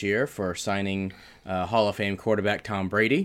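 Captured in a very clean recording with a silent background, a man speaks in a monotone, flat intonation at a fairly low pitch and moderate pace. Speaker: podcast guest, husband of the host. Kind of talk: casual chat.

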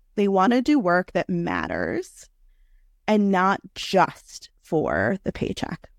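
A woman with an American accent at a very slow pace, the sound dry and close with no echo. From New York City. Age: 30s. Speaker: career coach. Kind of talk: interview.

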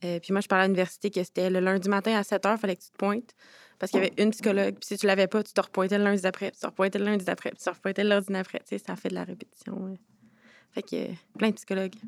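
In a very clean, dry, close recording with no echo and a silent background, a woman talks at a very fast pace in a monotone, flat voice with big swings in loudness. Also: medium pitch for a woman. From Quebec, Montreal. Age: 20s. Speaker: youth participant, community organization founder. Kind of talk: round-table discussion. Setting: conference room with audience of youths.

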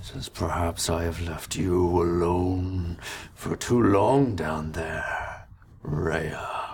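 A man puts on a character voice, pitched very deep and low. He speaks at a very slow pace. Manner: menacing, commanding.

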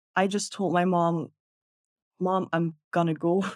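A woman at a medium pitch and a moderate pace. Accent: Dutch. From Netherlands. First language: Dutch. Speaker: content creator. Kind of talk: casual interview storytelling.

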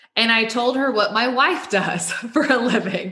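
In an American accent, a woman speaks at a moderate pace with a fairly high pitch. Audible room echo and noticeable background noise fill the recording. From Texas, near Waco. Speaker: staffing firm regional director. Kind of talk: interview.

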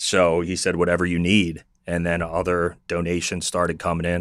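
On a very clean recording with a silent background, a man speaks at a fairly quick pace with a very deep, low pitch. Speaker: social media influencer. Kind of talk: casual chat. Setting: studio. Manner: loud.

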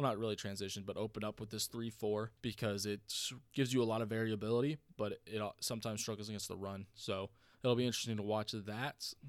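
In a very clean recording with a silent background, a man talks very fast at a fairly low pitch with monotone, flat intonation. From North Carolina, US (military family, moved a lot). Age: 20s. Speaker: sports podcast host. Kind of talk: solo podcast monologue. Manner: casual, conversational with fillers.

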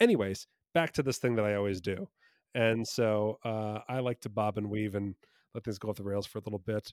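With an American accent, a man talks at a fairly quick pace in a fairly low pitch and an unremarkable speaking voice, on a very clean recording with a silent background. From New Jersey, US. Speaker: comedy magician and improviser. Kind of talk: casual interview chat.

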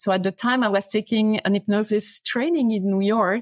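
Recorded very cleanly against a silent background, a woman with a French accent talks at a moderate pace in a fairly high pitch, the sound dry and close with no echo. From France. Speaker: yoga teacher and cancer survivor. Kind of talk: interview.

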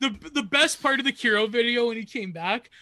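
Speaking with a Canadian accent, a man uses a raised, projected voice with a bright, sharp tone and ordinary pitch variation. He keeps a moderate pace in a very clean recording with a silent background. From Canada, Niagara region. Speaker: comedy podcaster. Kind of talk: casual chat.

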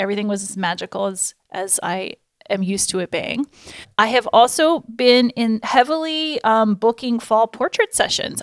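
An ordinary speaking voice in an American accent, moderate in pace with lively intonation, dry and close with no echo, on a very clean recording with a silent background. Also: woman, fairly high pitch for a woman. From Florida. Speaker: photographer and podcast host. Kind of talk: casual chat.

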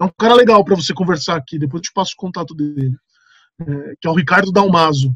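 With a dry, close sound and no echo, a high-pitched man talks at a very fast pace, with big swings in loudness and long, frequent pauses. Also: ordinary pitch variation. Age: 30s. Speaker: company lawyer. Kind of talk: casual interview. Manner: casual, hesitant with fillers.

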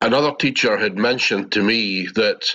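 This man has a Scottish accent and a fairly low pitch. He speaks at a moderate pace with fairly even intonation. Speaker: participant asking a spiritual teacher for guidance. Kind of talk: question in a live group session. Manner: halting.

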